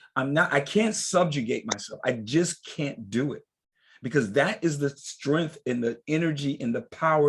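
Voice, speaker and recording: Somewhat breathy and fairly high-pitched, a man talks at a moderate pace in an animated tone. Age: 60s. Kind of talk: group discussion.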